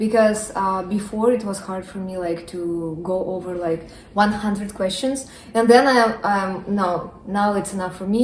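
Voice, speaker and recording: A non-native accent at a fairly slow pace, with fairly even intonation, big swings in loudness, audible room echo, and noticeable background noise. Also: woman. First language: not English. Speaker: nursing student. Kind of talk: casual interview. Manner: hesitant with fillers.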